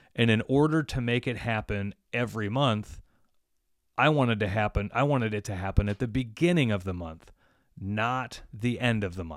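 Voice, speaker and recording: A plain, everyday voice from a man at medium pitch, moderately paced, with ordinary pitch variation, on a very clean recording with a silent background. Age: 40s. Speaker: podcast host and plumbing business owner. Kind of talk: casual chat.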